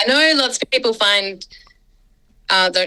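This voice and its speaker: Her intonation lively and her tone bright and sharp, a woman speaks in an Australian accent. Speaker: scholar and mission worker. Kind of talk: podcast interview.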